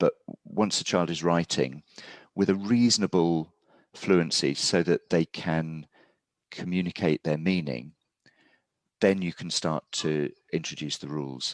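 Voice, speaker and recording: A man speaks at a very deep, low pitch with long, frequent pauses. The sound is dry and close with no echo, in a very clean recording with a silent background. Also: ordinary pitch variation, fairly slow pace. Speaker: teacher. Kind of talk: interview answer. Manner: measured, hesitant.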